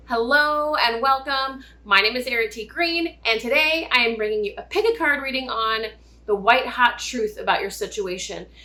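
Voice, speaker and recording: With lively intonation, a woman talks loudly at a high pitch and a moderate pace. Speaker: tarot reader. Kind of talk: tarot reading. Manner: loud, projecting.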